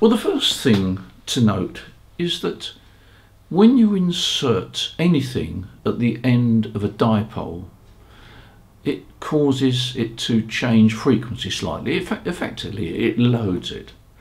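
A man talks slowly at medium pitch, with vocal fry. His pitch swings widely.

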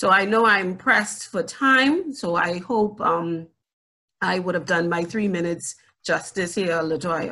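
With a bright, sharp tone, a woman speaks at a fairly slow pace with ordinary pitch variation over a quiet background. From Bahamas. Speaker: education ministry official, panelist; panelist. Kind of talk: panel presentation. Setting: video call. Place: home room. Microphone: video call.

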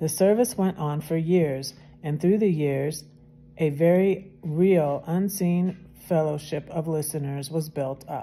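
A woman's warm tone at a very deep, low pitch and a fairly slow pace. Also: ordinary pitch variation. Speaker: video channel host reading devotional. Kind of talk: casual chat, devotional reading aloud, then fervent prayer. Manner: fervent, heartfelt, earnest and emotional prayer; chatty, warm, informal. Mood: calm, reverent. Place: home room. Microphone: phone near.

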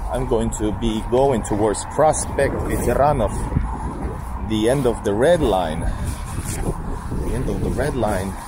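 Very slow speech comes through dry, with no echo, against noticeable background noise. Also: man. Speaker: walking vlogger. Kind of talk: casual vlog chat. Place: street. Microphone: phone near.

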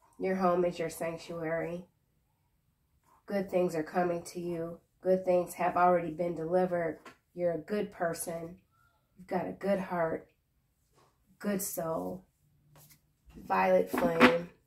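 A woman's fairly low voice, monotone and flat, broken by long, frequent pauses. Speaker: tarot reader. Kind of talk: tarot reading commentary. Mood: calm, reassuring, playful. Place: home room. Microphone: phone near.

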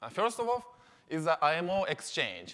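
At a moderate pace, a man talks with a Japanese accent. His pitch sits high for a man and swings very widely. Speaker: company representative. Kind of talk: conference presentation. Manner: halting with many fillers.

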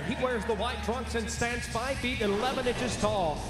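Moderate pace over loud background noise. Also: man. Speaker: MMA cage announcer. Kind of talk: live fight announcer introducing fighters and reading scorecards. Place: stadium. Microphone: handheld.

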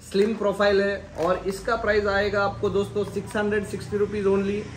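A man with a high voice speaks at a moderate pace, and room echo is audible.

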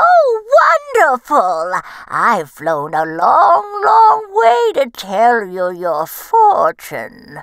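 This woman uses a put-on character voice at a very slow pace. Her pitch sits fairly high. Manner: sly, teasing.

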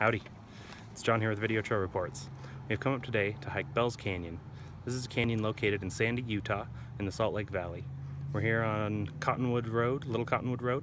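Talking at a very fast pace with ordinary pitch variation, a man is heard over noticeable background noise in a dry sound with no echo. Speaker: trail video host. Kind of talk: casual vlog chat. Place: open country. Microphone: phone near.

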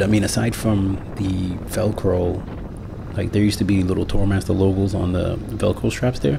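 A man talks fairly slowly, and noticeable noise can be heard in the background. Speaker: motorcycle vlogger. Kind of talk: casual vlog chat. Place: motorbike. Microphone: helmet.

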